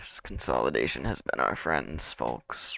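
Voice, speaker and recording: This man's voice carries vocal fry and a bright, sharp tone. The sound is dry and close, with no echo. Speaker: crypto livestreamer. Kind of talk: casual livestream commentary on charts. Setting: livestream. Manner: relaxed, conversational.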